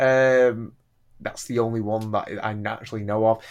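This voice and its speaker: A man speaks with a northern English accent at a moderate pace. His pitch is medium, and the background is quiet. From northern England. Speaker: podcast host. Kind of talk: casual chat.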